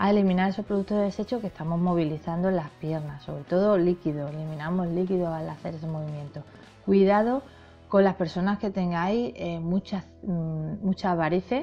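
Over faint background music, a woman with a fairly low pitch talks at a fairly quick pace with ordinary pitch variation. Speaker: fitness vlogger. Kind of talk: tutorial advice talk. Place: home room.

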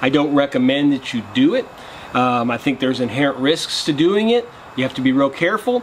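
Light background noise under a man's voice at a moderate pace. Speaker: outdoor cooking vlogger. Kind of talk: casual vlog chat. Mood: earnest safety disclaimer. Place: garden. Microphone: camera far.

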